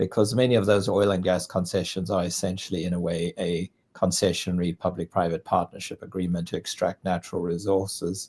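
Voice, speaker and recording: A man with a South African accent speaks at a fairly quick pace with hardly any pauses, his pitch very deep and low and his intonation monotone and flat. The recording is very clean with a silent background, dry and close with no echo. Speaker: international development consultant. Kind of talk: interview.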